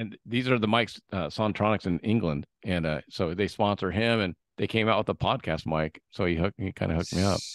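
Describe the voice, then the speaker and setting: In an American accent, a man talks at a fairly quick pace with hardly any pauses, a fairly low pitch and ordinary pitch variation, over a quiet background with a dry sound and no echo. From San Diego, California; California. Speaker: podcast host and sales rep; podcast host, sales rep. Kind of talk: casual interview. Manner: animated. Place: home room. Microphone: studio mic.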